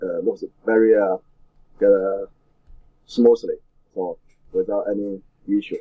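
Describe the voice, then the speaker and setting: With a Chinese accent, a man talks at a fairly slow pace. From China. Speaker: weightlifting coach and former Olympian. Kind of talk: interview. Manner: halting, many fillers.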